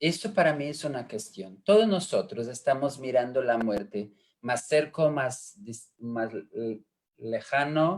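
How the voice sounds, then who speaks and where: A man with an Italian accent speaks at a very slow pace in a fairly high pitch. His pitch swings very widely. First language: Italian (speaking Spanish). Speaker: education expert. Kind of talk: panel discussion. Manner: halting.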